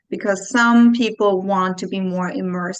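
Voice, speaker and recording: Over a quiet background, a woman talks at medium pitch and a moderate pace, her intonation fairly even. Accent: slight Austrian. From Austria. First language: German. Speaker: clinical psychologist. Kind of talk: interview.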